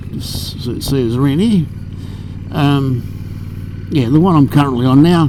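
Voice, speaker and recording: A man with an Australian accent, fairly high-pitched, amid noticeable background noise and audible room echo. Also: ordinary pitch variation, fairly slow pace. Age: 60s. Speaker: motorcycle vlogger. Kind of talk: casual vlog monologue while riding. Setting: riding a motorcycle outdoors. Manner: halting, many fillers.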